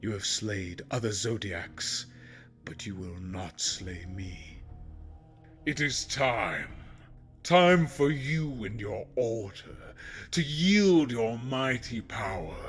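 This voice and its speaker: A man does a put-on character voice at a medium pitch and a very slow pace. Clear music plays in the background. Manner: mocking, menacing.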